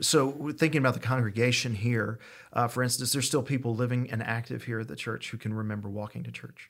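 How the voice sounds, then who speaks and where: Speaking very fast in an East Tennessee accent, a man with a medium-pitched voice keeps his intonation fairly even. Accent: Southern US (East Tennessee). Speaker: pastor. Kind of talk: casual interview.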